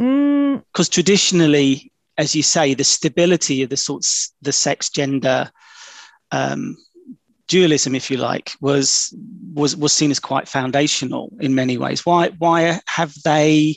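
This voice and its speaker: In a British accent, a man talks at a fairly slow pace with a fairly high pitch. His pitch varies in an ordinary way, and the sound is dry and close with no echo. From UK. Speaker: academic podcast host. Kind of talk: academic interview. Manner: halting.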